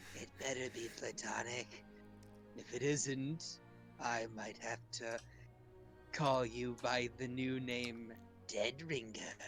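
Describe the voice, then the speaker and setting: In a put-on character voice at a low-to-middle pitch, the speaker goes at a very slow pace with long, frequent pauses while clear music plays behind. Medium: actual play. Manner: wheedling, repeats herself with "yes".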